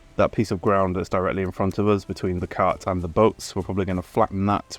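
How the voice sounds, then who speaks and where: With a British accent, the speaker talks at a fairly quick pace in a monotone, flat intonation. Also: man. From Britain. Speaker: gaming YouTuber. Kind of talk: gameplay commentary. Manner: casual, hesitant with fillers.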